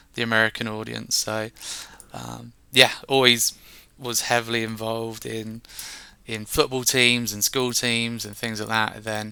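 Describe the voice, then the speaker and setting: With a southern English accent, a man speaks fairly slowly at medium pitch in a bright, sharp tone, his intonation monotone and flat while his loudness swings widely. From England, Reading. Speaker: software solutions engineer. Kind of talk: interview.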